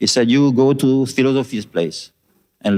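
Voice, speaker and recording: On a very clean recording with a silent background, a man talks with a French accent. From France. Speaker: devotee. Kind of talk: testimony. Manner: halting.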